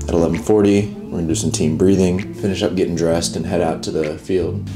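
A man at a fairly quick pace, with noticeable background noise behind him. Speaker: college football player vlogger. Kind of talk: casual vlog chat. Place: home room. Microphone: camera far.

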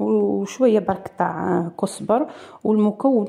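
Against a quiet background, a woman with a dark, mellow tone speaks at a very slow pace. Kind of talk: tutorial. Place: home room.

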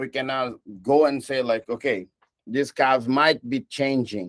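Against a quiet background, a man talks at a fairly slow pace. His pitch is medium. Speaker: guest lecturer. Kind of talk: lecture. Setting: video call. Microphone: video call.

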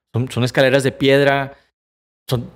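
A man at a fairly quick pace. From Mexico, Monterrey; Nuevo León, Mexico. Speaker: motivational speaker, cancer survivor; podcast guest. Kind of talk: personal testimony in interview. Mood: earnest, reflective storytelling. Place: studio. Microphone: studio mic.

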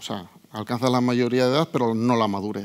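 A man speaks at a moderate pace with a medium pitch and ordinary pitch variation against a quiet background. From Tudela, Navarre, Spain; Navarre, Spain. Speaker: cybersecurity consultant; conference speaker. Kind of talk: conference talk. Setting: stage with audience. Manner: halting, with fillers. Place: hall.

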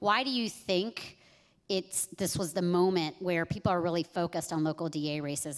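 A woman with a fairly low pitch speaks at a moderate pace with ordinary pitch variation. The background is quiet. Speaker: panel moderator, civil rights advocate; panel moderator. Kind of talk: panel moderation. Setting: stage with audience. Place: stage. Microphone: handheld.

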